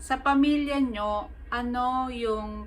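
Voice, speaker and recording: A woman speaks with a Filipino accent, and audible room echo can be heard. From Philippines. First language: Tagalog. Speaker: vlogger. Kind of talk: casual vlog talk.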